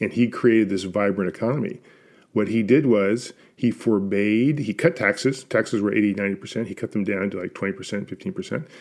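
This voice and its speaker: Against a quiet background, a man with a plain, everyday voice speaks fairly quickly at a fairly low pitch with ordinary pitch variation. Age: 60s. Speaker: podcast co-host, former investment banker. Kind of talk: casual conversational discussion. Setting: video call.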